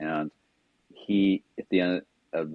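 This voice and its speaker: With a West Coast accent, a man talks in a very deep, low voice with ordinary pitch variation. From Southern California. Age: 70s. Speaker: wellness coach. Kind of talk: podcast interview storytelling. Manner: casual conversational.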